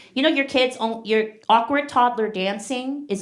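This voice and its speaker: A woman talks at a moderate pace with lively intonation, and audible room echo fills the recording. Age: 40s. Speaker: stand-up comedian. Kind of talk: stand-up. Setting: stage with audience.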